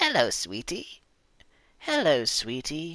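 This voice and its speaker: A put-on character voice at a middle pitch. It moves at a very slow pace. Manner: sweet, polite.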